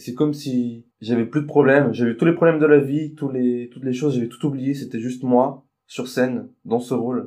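Fairly even intonation in a man's dark, mellow voice. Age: 20s. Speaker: drama student. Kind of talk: interview. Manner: halting.

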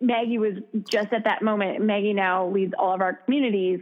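With an American accent, a woman uses an ordinary speaking voice at a fairly high pitch, ordinary pitch variation and a moderate pace. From US Midwest, Minnesota. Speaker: founder of a fitness app. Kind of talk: casual interview chat. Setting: phone call.

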